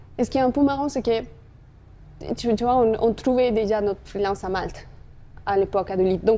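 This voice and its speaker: A woman speaks at a fairly quick pace with a dark, mellow tone. Her pitch is fairly high, with ordinary variation. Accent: Spanish. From Colombia. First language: Spanish (speaking French). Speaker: marketing executive. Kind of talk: interview.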